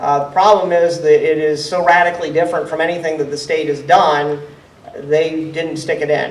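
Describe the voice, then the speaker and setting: Speaking at a fairly quick pace with an American accent, a high-pitched man keeps a monotone, flat intonation amid noticeable background noise and audible room echo. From central Ohio. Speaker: state legislator. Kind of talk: town hall Q&A. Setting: town hall meeting.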